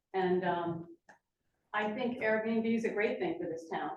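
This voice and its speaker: Audible room echo carries a woman's voice with an American accent. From New Jersey, Lambertville. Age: 60s. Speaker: public commenter and realtor. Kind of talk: public comment at council meeting. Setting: council meeting chamber.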